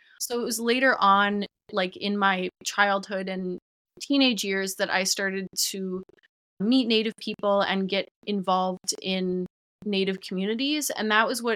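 Speaking with an Upper Midwest accent, a woman has a bright, sharp tone and a medium pitch. She keeps a moderate pace and fairly even intonation, recorded with a dry, close sound and no echo. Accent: Upper Midwest American. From Minnesota, Twin Cities. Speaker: TikTok creator on ancestral healing. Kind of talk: casual interview chat.

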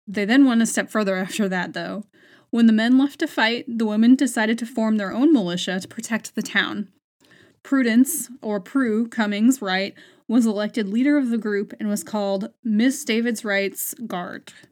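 A woman with an American accent speaks at a moderate pace in a normal speaking voice, her pitch fairly high with ordinary variation. The recording is very clean, with a silent background. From United States. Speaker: podcast host and history storyteller. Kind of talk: history documentary narration, measured and informative, read from researched notes. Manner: steady, clear, even-paced explanatory storytelling.

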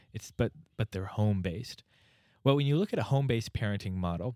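This man has a plain, everyday voice, fairly low in pitch with ordinary pitch variation, and speaks with an American accent. The recording is very clean with a silent background and a dry, close sound with no echo. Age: 20s. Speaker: state legislator. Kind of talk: casual chat. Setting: office studio.

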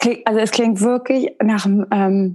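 Here is a woman with an unremarkable speaking voice, pitched fairly high. Her pace is moderate and her pitch variation is ordinary. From northern Germany (Westerkappeln). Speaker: podcast host. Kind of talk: interview.

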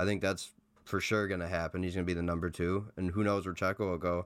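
The man's intonation is monotone and flat, his tone deadpan, on a very clean recording with a silent background. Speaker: podcast co-host. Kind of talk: casual chat. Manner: joking, deadpan.

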